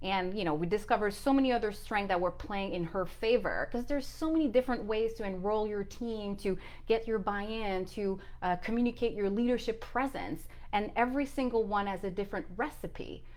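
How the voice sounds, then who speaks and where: Fairly quick speech from a woman, fairly high in pitch, with ordinary pitch variation. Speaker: leadership coach. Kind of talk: motivational vlog monologue.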